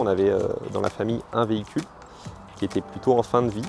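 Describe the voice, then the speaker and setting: A man at a medium pitch. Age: 40s. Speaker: journalist giving a customer testimonial. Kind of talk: testimony. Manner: hesitant, many fillers and repeated words.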